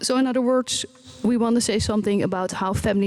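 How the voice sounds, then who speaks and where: A woman speaks with a Dutch accent. Her pace is moderate, with ordinary pitch variation. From Netherlands. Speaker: researcher and parent. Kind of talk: conference presentation. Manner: halting, many fillers.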